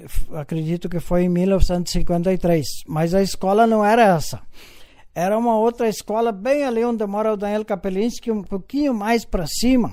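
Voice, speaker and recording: The voice has a dark, mellow tone, moves at a moderate pace and shows ordinary pitch variation. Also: man. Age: 70s. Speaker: elderly local resident telling family history. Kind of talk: interview. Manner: halting.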